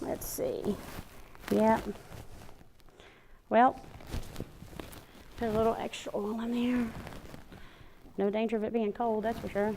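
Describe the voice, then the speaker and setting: Fairly high-pitched, a woman with an American accent speaks in a monotone, flat way. Her pace is fairly slow, with long, frequent pauses. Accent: Southern, thicker than usual. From US South, Alabama. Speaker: cooking show host. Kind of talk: cooking tutorial. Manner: casual, chatty.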